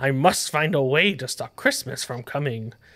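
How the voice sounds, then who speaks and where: Putting on a growling character voice, a man speaks at a medium pitch and a moderate pace, with big swings in loudness. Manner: growling, snarling.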